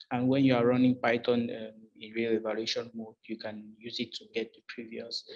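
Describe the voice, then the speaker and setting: At a moderate pace, a man speaks with a French accent. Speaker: job candidate. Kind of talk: job interview. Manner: halting, many fillers.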